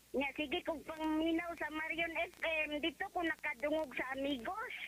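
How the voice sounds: A woman's high-pitched voice with a fairly bright tone, ordinary pitch variation and a moderate pace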